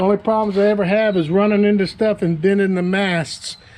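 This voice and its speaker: A man's high-pitched voice at a moderate pace, fairly even in intonation, over noticeable background noise. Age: 60s. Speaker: kayak fishing youtuber. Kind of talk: product review. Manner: casual, conversational.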